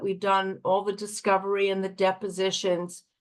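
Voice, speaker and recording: A woman speaks at a moderate pace in a medium pitch. It is a plain, everyday voice. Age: 60s. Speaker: divorce attorney. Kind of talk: interview.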